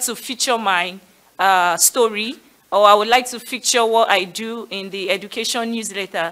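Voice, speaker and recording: A woman talks at a moderate pace with ordinary pitch variation. Her tone is bright and sharp. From Nigeria. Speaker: education community leader; panelist. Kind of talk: panel discussion. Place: hall. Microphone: podium.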